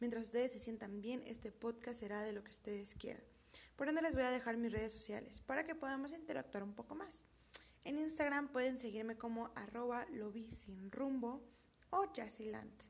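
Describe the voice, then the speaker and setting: A woman speaks in an ordinary speaking voice, fairly high in pitch with ordinary pitch variation. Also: moderate pace. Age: 20s. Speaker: podcast host, university student. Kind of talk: casual podcast monologue.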